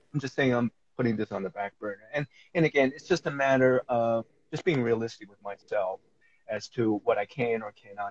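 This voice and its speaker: This man has a normal speaking voice and an American accent, talking at a fairly quick pace and medium pitch with ordinary pitch variation and big swings in loudness, in a dry, close sound with no echo. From New York. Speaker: life coach. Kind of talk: interview. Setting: live stream.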